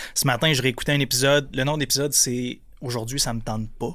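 A man talks very fast at a medium pitch in a flat monotone, on a very clean recording with a silent background. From Quebec, Gaspésie (Percé). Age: 30s. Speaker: entrepreneur. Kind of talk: casual chat.

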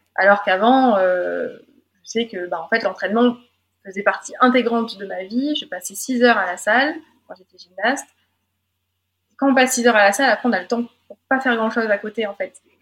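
Talking at a fairly quick pace with long, frequent pauses, a woman with a fairly high pitch shows big swings in loudness and ordinary pitch variation. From France, Drôme. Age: 20s. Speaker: weightlifter and sports psychologist. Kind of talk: interview testimony.

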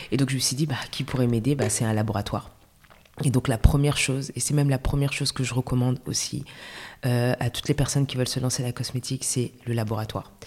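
A woman with a very deep, low pitch talks at a fairly quick pace and with fairly even intonation over noticeable background noise. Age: 30s. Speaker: entrepreneur, cosmetics brand founder. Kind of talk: casual interview. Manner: halting.

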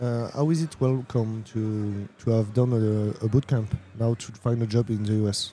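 A man with a French accent, at a moderate pace with hardly any pauses, a dark, mellow tone and fairly even intonation. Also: medium pitch for a man. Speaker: interviewer. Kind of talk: interview. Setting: tech conference.

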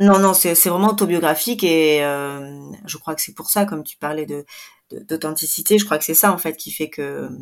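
A woman's very deep, low voice, fairly quick, with ordinary pitch variation. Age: 40s. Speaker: photographer and author. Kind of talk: interview testimony. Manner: hesitant, many fillers.

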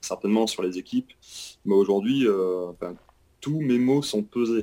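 At a moderate pace, a man's voice comes through with a dark, mellow tone. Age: 30s. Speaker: retail store manager. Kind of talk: interview.

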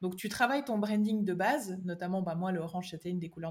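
A somewhat breathy woman speaks at a very fast pace, at medium pitch with ordinary pitch variation. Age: 20s. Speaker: digital strategy consultant. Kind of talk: podcast interview.

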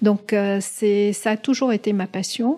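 The voice has a dark, mellow tone, captured very cleanly against a silent background. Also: woman. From Middle East. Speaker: pharmaceutical executive. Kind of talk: interview. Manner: halting.

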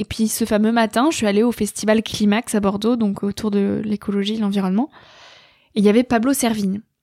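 In a dry, close sound with no echo, a woman speaks at a fairly quick pace with a fairly high pitch and monotone, flat intonation. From rural France. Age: 20s. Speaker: podcaster and author. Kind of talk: interview.

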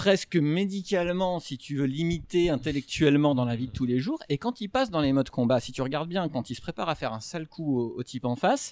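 This man's voice sits fairly high and moves with lively intonation as he talks at a fairly brisk clip. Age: 30s. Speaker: fantasy author. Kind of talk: casual chat. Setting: live recording with audience.

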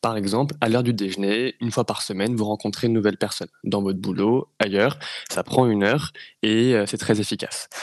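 The sound is dry and close with no echo as a man with a normal speaking voice talks at a fairly quick pace, his pitch fairly low and his intonation fairly even. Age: 20s. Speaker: entrepreneur running a speakers agency. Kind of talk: interview. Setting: studio.

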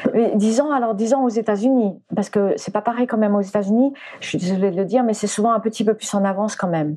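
A woman talks very fast at a fairly high pitch. Noticeable background noise runs behind her. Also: ordinary pitch variation. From France, arrived from the US at age 4. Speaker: animal communicator and former flamenco dancer. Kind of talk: interview. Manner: halting, many repetitions.

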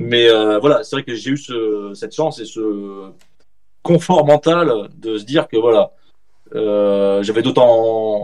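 At a very slow pace, a man speaks with long, frequent pauses and big swings in loudness. His pitch is medium with ordinary variation. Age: 40s. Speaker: journalist and author. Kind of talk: interview.

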